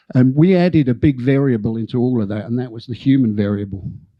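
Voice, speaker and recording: A man with an Australian accent, medium pitch, ordinary pitch variation and a fairly quick pace. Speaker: conference keynote speaker, data acquisition engineer. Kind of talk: conference presentation. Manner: halting, many fillers and restarts.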